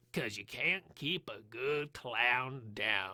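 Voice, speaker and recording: A man does a raspy, put-on character voice at a very slow pace. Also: medium pitch for a man. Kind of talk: casual talk to camera. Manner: erratic, all over the place.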